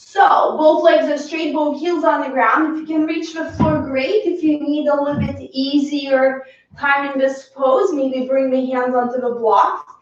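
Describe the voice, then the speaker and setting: A woman's high voice with ordinary pitch variation at a fairly slow pace with hardly any pauses, over noticeable background noise. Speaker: yoga teacher. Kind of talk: guided yoga class. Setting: home live stream.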